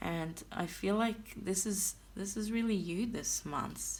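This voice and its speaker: Delivered with a non-native accent, the speech moves at a very slow pace. The voice is somewhat breathy, and the intonation fairly even. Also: woman. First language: not English. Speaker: tarot reader. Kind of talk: tarot reading. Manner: hesitant, with fillers.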